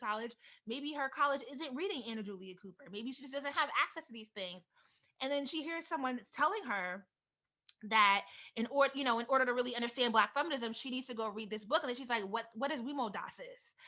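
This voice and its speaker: A very fast, bright, sharp voice in an East Coast American accent, with ordinary pitch variation and big swings in loudness. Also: woman. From US East Coast, Delaware. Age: 30s. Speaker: author and vlogger. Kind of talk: keynote talk.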